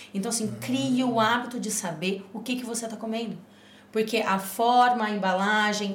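Fairly even intonation from a woman at a fairly high pitch and fairly quick pace. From Rio Grande do Sul, Brazil. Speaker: nutrition guest. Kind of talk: casual chat. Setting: studio.

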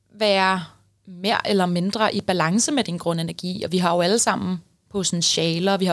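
On a very clean recording with a silent background, a woman talks in a normal speaking voice at medium pitch, with fairly even intonation and a moderate pace. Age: 20s. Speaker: numerologist, podcast co-host. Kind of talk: casual chat.

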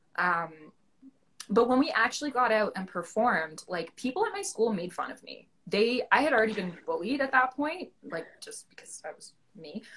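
A woman's fairly high voice in a Canadian accent, at a moderate pace, with very wide pitch swings and big swings in loudness. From Ontario, Canada. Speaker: actor. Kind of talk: casual chat interview. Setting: Instagram live video chat.

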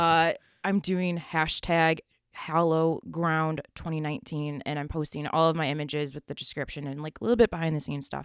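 A woman speaks at a fairly quick pace in a Western New York accent, with a very deep, low pitch. Her intonation stays fairly even on a very clean recording with a silent background. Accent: Western New York (Inland North) American. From US, Buffalo, New York. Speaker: photographer. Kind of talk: casual interview.

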